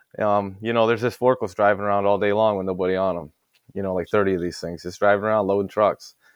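Very fast speech from a man with a fairly low voice, in a Midwestern American accent. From US Midwest, Ohio. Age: 30s. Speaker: industrial refrigeration technician. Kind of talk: casual chat.

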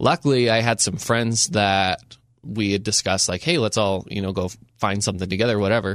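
In an American accent, a man uses an ordinary speaking voice with a fairly low pitch and ordinary pitch variation. He moves at a fairly quick pace on a very clean recording with a silent background. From rural southern Utah. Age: 20s. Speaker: media producer. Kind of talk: casual chat. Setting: studio.

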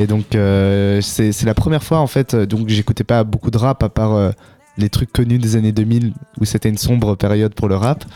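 In a normal speaking voice, a man with fairly low pitch and fairly even intonation talks at a moderate pace, in a dry, close sound with no echo. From Belgium, Brussels. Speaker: young local musician and beatmaker. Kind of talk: casual radio interview. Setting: radio studio.

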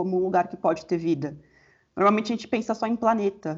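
A woman's somewhat breathy voice. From São Paulo, Brazil. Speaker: astronomy researcher. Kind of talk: interview.

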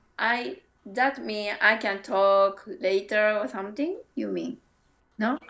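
A woman with a Japanese accent speaks very slowly, her intonation lively and full of movement. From Japan, Kyoto (Kansai). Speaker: English learner. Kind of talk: casual chat. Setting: video call. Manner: halting.

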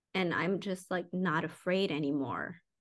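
A medium-pitched woman with an American accent at a moderate pace. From US, Mexican American family. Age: 30s. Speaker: corporate executive and new mother. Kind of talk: casual chat. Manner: halting, many fillers.

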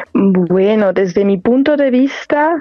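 A woman's voice at a fairly high pitch, very slow in pace, with ordinary pitch variation. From Mexico, La Piedad, Michoacán. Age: 20s. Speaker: singing student. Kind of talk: interview. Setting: phone call.

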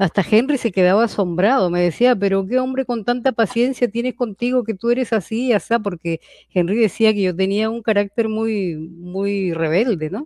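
A dark, mellow tone comes across in a dry, close sound with no echo. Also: woman, medium pitch for a woman, ordinary pitch variation, moderate pace. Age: 70s. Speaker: novelist. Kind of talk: interview. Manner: halting.

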